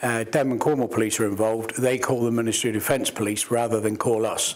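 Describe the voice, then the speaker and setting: The voice runs at a very fast pace, monotone and flat, with very even loudness over noticeable background noise. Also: man, medium pitch for a man. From Plymouth, England. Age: 60s. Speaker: lifeboat volunteer. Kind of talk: interview.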